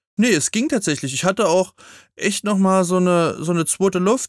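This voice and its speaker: A man's voice with a dry, close sound and no echo. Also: very clean recording, silent background. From eastern Germany. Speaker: podcast co-host. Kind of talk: casual chat.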